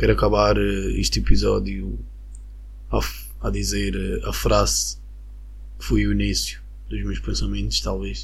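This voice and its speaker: In a calm tone, a man with a very deep, low pitch speaks at a fairly slow pace in a monotone, flat intonation, with long, frequent pauses, audible room echo and noticeable background noise. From Venezuela. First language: Spanish (speaking Portuguese). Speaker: podcaster. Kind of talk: solo monologue.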